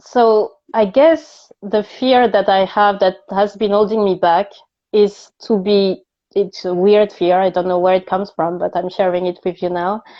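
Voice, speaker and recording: Using fairly even intonation, a woman with a French accent speaks at a medium pitch and a fairly slow pace. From France. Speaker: coach for multilingual job seekers. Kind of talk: casual interview chat. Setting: live stream video call.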